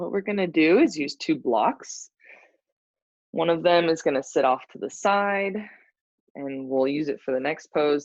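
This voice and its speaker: A woman at a moderate pace, with ordinary pitch variation, against a quiet background. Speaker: yoga teacher. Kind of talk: guided yoga class instruction. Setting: live stream. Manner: soft-spoken.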